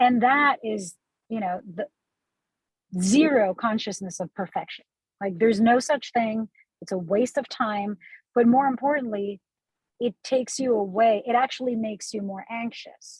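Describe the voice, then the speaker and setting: A woman speaks at a fairly high pitch and a moderate pace, somewhat breathy, with ordinary pitch variation. Long, frequent pauses break her speech, and the sound is dry and close with no echo. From Puerto Rico, San Juan. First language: Spanish. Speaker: TV news journalist and anchor. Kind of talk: talk with a student audience. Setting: in a car, video call. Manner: animated.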